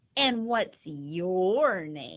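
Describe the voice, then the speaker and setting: A woman in a put-on character voice, medium pitch with very wide pitch swings. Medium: read story.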